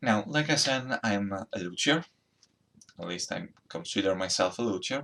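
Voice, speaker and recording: A man with a strong Italian accent, speaking at a fairly slow pace. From Italy. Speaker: amateur luthier and musician. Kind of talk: DIY build vlog. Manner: hesitant, with fillers. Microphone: laptop recording.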